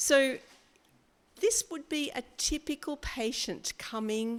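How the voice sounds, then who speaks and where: A woman with an Australian accent, at a very slow pace. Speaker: physiotherapist lecturer. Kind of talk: lecture. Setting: seminar room with live audience and online.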